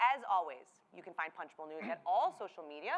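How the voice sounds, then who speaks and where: At a fairly quick pace, a woman speaks with a Midwestern accent and a bright, sharp tone. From US Midwest. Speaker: political journalist moderating a panel. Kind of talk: live panel moderation.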